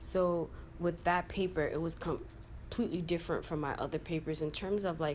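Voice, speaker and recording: Her pitch fairly low, a woman speaks with vocal fry and monotone, flat intonation. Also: fairly quick pace. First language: not English. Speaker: college student. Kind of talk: testimony.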